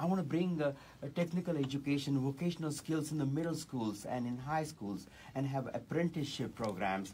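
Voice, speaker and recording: Somewhat breathy, a man speaks at a fairly high pitch and fairly quick pace, with ordinary pitch variation. His tone is dark and mellow, over light background noise. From India. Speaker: political candidate; candidate. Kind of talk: radio interview. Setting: radio studio. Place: studio. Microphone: studio mic.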